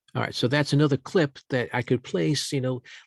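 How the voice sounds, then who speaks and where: Somewhat breathy, a man speaks at a moderate pace, the sound dry and close with no echo on a very clean recording with a silent background. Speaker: journalism instructor. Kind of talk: tutorial.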